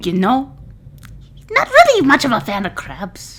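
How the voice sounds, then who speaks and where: A female-sounding put-on character voice, high-pitched, at a moderate pace. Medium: actual play. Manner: fussy, gossipy, old-fashioned phrasing.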